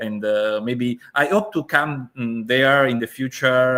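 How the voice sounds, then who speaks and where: A man speaks at a fairly slow pace and medium pitch. His intonation stays fairly even. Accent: Italian. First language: Italian. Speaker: event host. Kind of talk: online interview. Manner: halting.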